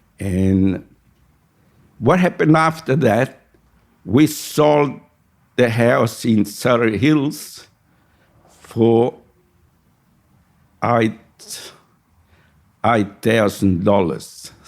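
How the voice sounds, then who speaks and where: A man with an Italian accent and medium pitch speaks at a very slow pace with lively intonation and long, frequent pauses. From Sicily, Italy. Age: 80s+. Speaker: retired barber and migrant. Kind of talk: oral history interview.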